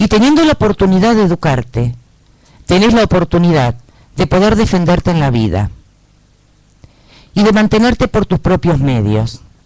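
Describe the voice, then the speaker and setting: A man with a Rioplatense accent, high pitch, very wide pitch swings, and a moderate pace. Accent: Argentine Rioplatense Spanish. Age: 60s. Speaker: local political candidate. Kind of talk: political interview.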